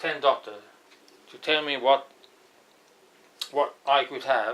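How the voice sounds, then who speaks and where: A man speaks with a non-native accent at a fairly high pitch. His tone is bright and sharp. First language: not English. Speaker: astrologer. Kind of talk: lecture. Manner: halting.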